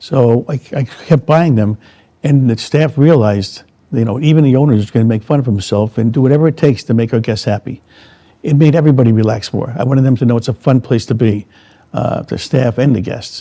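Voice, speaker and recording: Moving at a fairly quick pace, a man with an American accent uses a medium pitch, ordinary pitch variation and a dark, mellow tone. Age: 70s. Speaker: resort owner. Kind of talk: interview. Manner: casual, conversational.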